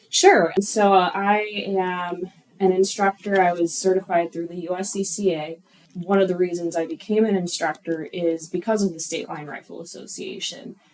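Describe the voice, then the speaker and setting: A woman's medium-pitched voice at a moderate pace, with fairly even intonation, big swings in loudness, and noticeable background noise. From Chicago, US Midwest. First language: not English. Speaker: firearms instructor, gun club member. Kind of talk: radio interview.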